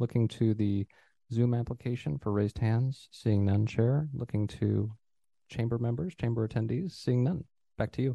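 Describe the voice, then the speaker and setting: A man speaks at medium pitch and a moderate pace, his voice somewhat breathy with a dark, mellow tone. Loudness stays very even, pitch varies in an ordinary way, and the sound is dry and close with no echo. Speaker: city planning director. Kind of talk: formal public meeting procedure. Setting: council chambers. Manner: formal.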